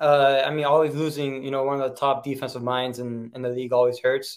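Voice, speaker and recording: A man rushes along at a very fast pace with hardly any pauses. His fairly high voice keeps a fairly even intonation. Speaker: sports podcast co-host. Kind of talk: casual sports discussion podcast.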